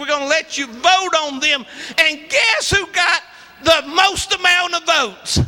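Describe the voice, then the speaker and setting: Someone with a South Carolina accent speaks at a fairly slow pace in a raised, projected voice with ordinary pitch variation, over noticeable background noise. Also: man. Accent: Southern US (South Carolina). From US South, rural South Carolina. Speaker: preacher. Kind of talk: sermon. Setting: church.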